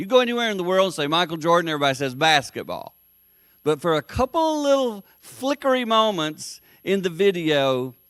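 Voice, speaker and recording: Recorded very cleanly against a silent background, a man with a Southern US accent talks at a fairly quick pace with very wide pitch swings. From US South, South Carolina. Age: 60s. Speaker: motivational speaker. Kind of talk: speech to business group. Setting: meeting with live audience.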